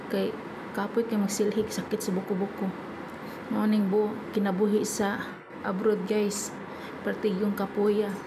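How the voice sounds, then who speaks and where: A woman's monotone, flat delivery at a fairly slow pace, with audible room echo and noticeable background noise. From Visayas, Philippines. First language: Cebuano (speaking Tagalog). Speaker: vlogger, overseas domestic worker. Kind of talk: casual vlog chat. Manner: halting, stumbling speech.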